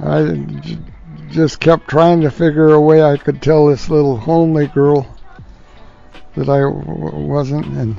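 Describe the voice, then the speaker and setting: Music plays behind a man speaking at a fairly slow pace in a relaxed tone. He takes long, frequent pauses. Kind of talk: family storytelling, casual anecdote. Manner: relaxed, halting, conversational.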